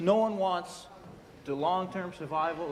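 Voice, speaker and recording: A man talks with ordinary pitch variation. Noticeable background noise sits behind him. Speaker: provincial legislator. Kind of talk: legislative floor statement.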